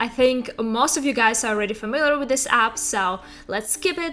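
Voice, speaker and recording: With music in the background, a woman in a Russian accent speaks at a high pitch. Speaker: tech YouTuber. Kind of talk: tutorial.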